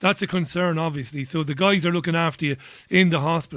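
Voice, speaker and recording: The man's voice is fairly high in pitch, and the background is quiet. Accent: Irish. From Ireland. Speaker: radio host. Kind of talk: radio interview.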